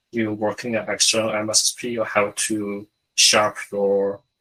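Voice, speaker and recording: In a very clean recording with a silent background, a man with a Chinese accent speaks. His tone is bright and sharp, his pitch fairly low, and his pace fairly slow. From China. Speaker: SOC security analyst. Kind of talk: interview. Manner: halting, many fillers.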